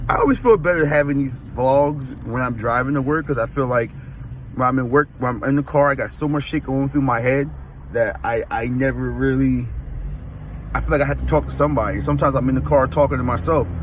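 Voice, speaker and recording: The pace is very fast. A man talks through noticeable background noise. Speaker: fitness vlogger. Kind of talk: casual vlog. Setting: in a car. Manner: halting, self-correcting.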